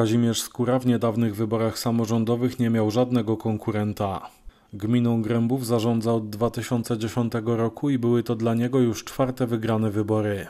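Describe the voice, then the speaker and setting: A man at medium pitch speaks in a flat monotone with a dark, mellow tone, very even loudness, a moderate pace and hardly any pauses. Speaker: local news reporter. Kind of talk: news reading, scripted narration.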